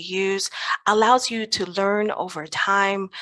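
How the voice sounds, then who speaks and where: A woman with an American accent and a medium-pitched voice. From US West Coast (Los Angeles, California). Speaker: educator and positive psychologist, conference speaker. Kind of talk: conference presentation.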